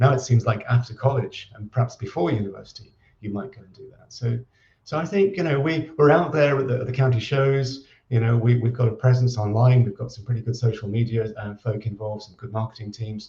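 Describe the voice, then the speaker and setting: A man speaks at a fairly quick pace with a dark, mellow tone and a somewhat breathy quality. His pitch sits in the middle range with ordinary variation, while his loudness swings widely. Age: 60s. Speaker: agricultural college director. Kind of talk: interview. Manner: halting, many repetitions.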